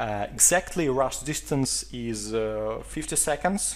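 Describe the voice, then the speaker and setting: The speaker is a man. He has a Russian accent. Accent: Russian accent, non-native English. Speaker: esports caster. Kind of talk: video game map review. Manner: hesitant, many filler sounds.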